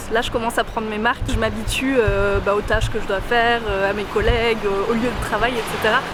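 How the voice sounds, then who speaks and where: Amid noticeable background noise, a woman speaks at a fairly quick pace in a fairly high, flat monotone with hardly any pauses. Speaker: vlogger. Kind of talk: vlog. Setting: café, then walking outdoors. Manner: soft-spoken.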